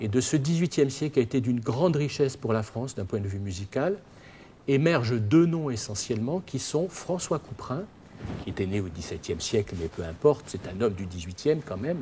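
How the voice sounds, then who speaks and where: A man's somewhat breathy, dark, mellow voice at a medium pitch, fairly quick, with very wide pitch swings. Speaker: lecturer. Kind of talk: lecture. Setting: opera house with audience. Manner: hesitant, many fillers.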